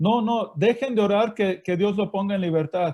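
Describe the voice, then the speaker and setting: With a Mexican accent, a man speaks in a dark, mellow tone with fairly even intonation. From Mexico. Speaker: missionary. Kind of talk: interview. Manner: halting.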